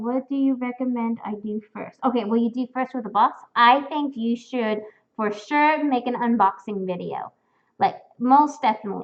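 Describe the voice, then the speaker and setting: Speaking at a moderate pace with ordinary pitch variation, a woman uses a high pitch and an American accent. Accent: sounds very American. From Spain. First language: Spanish. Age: 20s. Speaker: fursuit streamer. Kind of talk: live stream chat reading comments. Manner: casual, filler-heavy.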